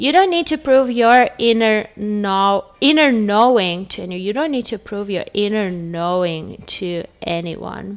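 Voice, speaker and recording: Speaking at a fairly slow pace, a woman with a non-native accent uses lively intonation at a medium pitch. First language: not English. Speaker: tarot reader. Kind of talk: casual chat. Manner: animated.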